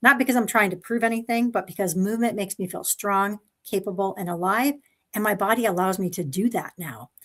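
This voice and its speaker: Using a normal speaking voice, a woman talks at a fairly quick pace with a medium pitch and ordinary pitch variation. The recording is very clean, with a silent background. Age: 60s. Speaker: pediatric neuropsychologist, panelist. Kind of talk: personal testimony in live panel. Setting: live stream.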